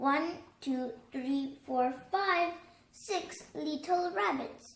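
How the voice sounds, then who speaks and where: A put-on character voice delivers its lines at a very slow pace with slight echo. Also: woman, high pitch for a woman. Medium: read story.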